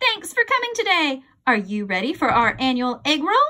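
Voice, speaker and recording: Putting on a squeaky character voice, a woman speaks at a high pitch and a moderate pace with very wide pitch swings. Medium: read story. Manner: bubbly, upbeat.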